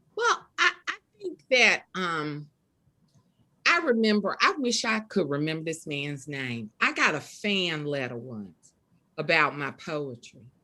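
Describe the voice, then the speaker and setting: Here a woman speaks at a fairly slow pace with a very deep, low pitch and a bright, sharp tone. Her pitch swings very widely. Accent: strong Southern US. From US South. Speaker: poet and author. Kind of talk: interview. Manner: casual, conversational.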